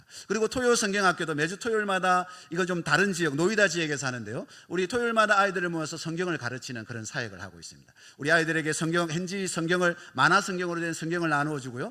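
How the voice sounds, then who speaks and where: A man speaks very fast in a high voice with lively intonation and big swings in loudness. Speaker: missionary. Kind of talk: mission report in church service.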